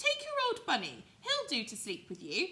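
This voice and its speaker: In a put-on character voice, a woman squeaks at an extremely high pitch at a moderate pace, with big swings in loudness. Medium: read story. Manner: brisk, impatient.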